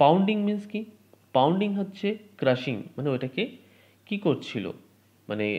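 High-pitched for a man, his dark, mellow voice moves through very wide pitch swings. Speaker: English teacher. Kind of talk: lecture.

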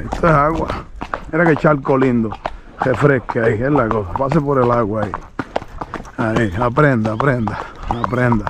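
A man with long, frequent pauses, the sound dry with no echo, amid noticeable background noise. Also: ordinary pitch variation, moderate pace. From Puerto Rico. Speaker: horse trainer and video host; horse trainer, video host. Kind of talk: casual vlog narration while riding and training a horse. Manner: animated. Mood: calm, relaxed, folksy. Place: open country. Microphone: phone near.

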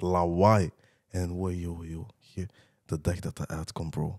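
Set against a quiet background, a man's voice sounds very deep and low. He speaks at a fairly slow pace. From Antwerp, Belgium (Borgerhout); Antwerp, Belgium. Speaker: rapper; podcast guest. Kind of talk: casual chat. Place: studio. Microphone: studio mic.

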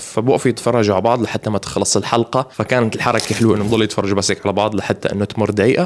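A man is speaking. His pace is very fast. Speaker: YouTube cartoon reviewer. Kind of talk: casual commentary and channel outro. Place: home room. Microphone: studio mic.

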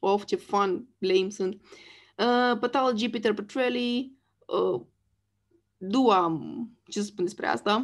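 With long, frequent pauses, a woman talks very slowly in a fairly high voice whose pitch varies normally. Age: 30s. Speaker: YouTuber. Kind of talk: casual monologue. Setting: screen share recording.

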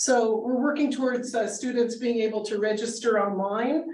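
A woman with an unremarkable speaking voice, fairly high in pitch, at a fairly slow pace. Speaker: ESL teacher. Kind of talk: conference presentation. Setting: room with live audience and Zoom viewers.

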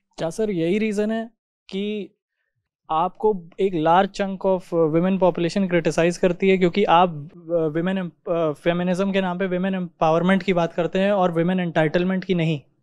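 A man's high, monotone, flat voice at a fairly slow pace, dry with no echo over a quiet background. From India. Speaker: audience member asking question; audience member. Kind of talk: question to speaker; audience question to speaker. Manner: halting. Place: hall. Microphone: handheld.

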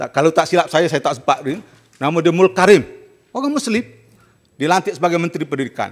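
Speaking very fast yet with long, frequent pauses, a man uses a high voice and lively intonation against a quiet background. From Malaysia. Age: 60s. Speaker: senator. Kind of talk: parliamentary debate speech. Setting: parliament chamber. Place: hall. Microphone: podium.

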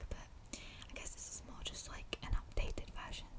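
A woman whispers at a moderate pace. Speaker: ASMR content creator. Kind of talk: ASMR mouth sounds and breathing video, casual talk to camera. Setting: binaural microphone recording. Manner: soft-spoken, whispery. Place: home room. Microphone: studio mic.

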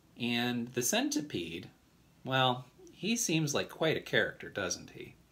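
The delivery here is plain reading aloud.

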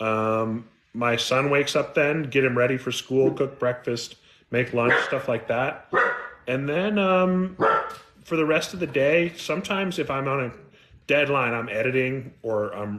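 A man with an American accent speaks fairly slowly at a medium pitch over light background noise. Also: ordinary pitch variation. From California. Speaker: mystery and thriller author; guest. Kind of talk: interview. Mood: relaxed, modest. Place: home room. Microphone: video call.

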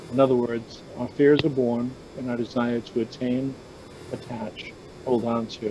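A man talks at a fairly slow pace. The sound is dry with no echo, with noticeable background noise. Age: 60s. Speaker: Zen Buddhist speaker; speaker. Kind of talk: dharma talk. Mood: calm, reflective. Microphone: video call.

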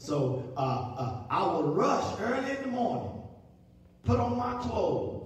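A man speaks slowly at a high pitch with big pitch swings, and the room echo is strong.

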